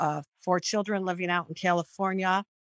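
In a Midwestern American accent, a woman speaks with fairly low pitch and monotone, flat intonation, recorded dry and close with no echo. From Michigan, Royal Oak. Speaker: testimony speaker. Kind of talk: testimony. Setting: video call. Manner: halting, many repetitions.

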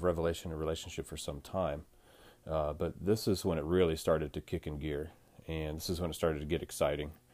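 This man's voice is very deep and low, with fairly even intonation. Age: 40s. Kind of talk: devotional monologue. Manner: halting, many fillers.

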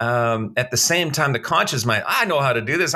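A man with lively intonation, amid noticeable background noise. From Canada. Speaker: motivational speaker and author. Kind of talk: casual interview. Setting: remote recording from home.

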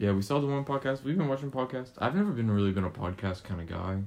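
A man talks at a fast pace with lively intonation and medium pitch. His tone is slightly mellow.

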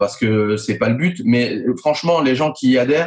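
At a moderate pace and with ordinary pitch variation, a man talks in a plain, everyday voice. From France, Nice. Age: 40s. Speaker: user experience consultant. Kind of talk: interview.

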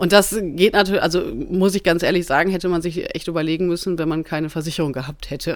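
With a plain, everyday voice, a woman speaks at a fairly quick pace, fairly low in pitch and fairly even in intonation. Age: 30s. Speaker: insurance agent and horse rider. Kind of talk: casual interview. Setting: studio, shared handheld mic.

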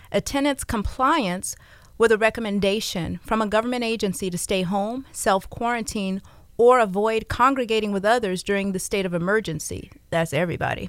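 Here is a woman with a normal speaking voice at a medium pitch. She talks at a fairly quick pace with ordinary pitch variation. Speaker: radio host and realtor. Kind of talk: radio DJ patter: live call-in radio show chat. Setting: radio studio. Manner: chatty, upbeat, laughing, ad-libbing with listeners.

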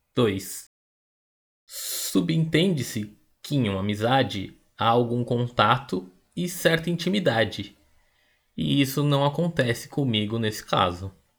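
Over a very clean recording with a silent background, a somewhat breathy man speaks at a fairly slow pace, with lively intonation and long, frequent pauses. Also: medium pitch for a man. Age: 30s. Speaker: podcast host. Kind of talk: scripted narration.

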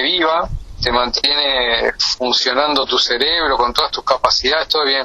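With noticeable background noise around him, a man talks fairly slowly. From Uruguay, Canelones area. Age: 50s. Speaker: pediatric surgeon. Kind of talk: interview.

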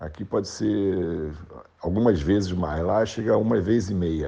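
This man has a very deep, low pitch, a dark, mellow tone and ordinary pitch variation. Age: 60s. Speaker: club presidential candidate. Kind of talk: interview. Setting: remote call.

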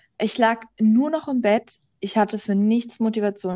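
A woman with a normal speaking voice talks at a moderate pace, her fairly high pitch held in fairly even intonation. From Berlin, Germany. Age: young. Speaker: podcast host. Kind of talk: casual chat. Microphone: microphone problems.

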